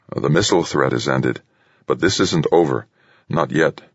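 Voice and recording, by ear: A man's put-on character voice, extremely low in pitch, with vocal fry, a slightly husky edge, ordinary pitch variation and a moderate pace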